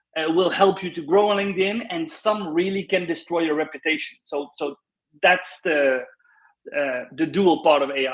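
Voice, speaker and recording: With a Dutch accent, a man speaks at a high pitch with ordinary variation and a moderate pace. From Netherlands. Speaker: LinkedIn consultant. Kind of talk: panel discussion.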